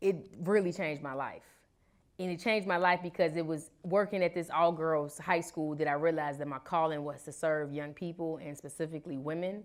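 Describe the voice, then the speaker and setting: With fairly even intonation and big swings in loudness, a woman with a fairly low pitch speaks in a normal speaking voice at a fairly quick pace, recorded very cleanly over a silent background. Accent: American. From Chicago. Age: 20s. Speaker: activist and educator. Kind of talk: interview.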